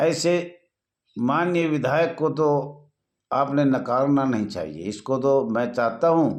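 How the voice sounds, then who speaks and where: This man talks with a fairly high pitch and lively intonation. Audible echo from the room surrounds his voice. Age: 70s. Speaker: home guard association leader. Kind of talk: video appeal. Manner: formal.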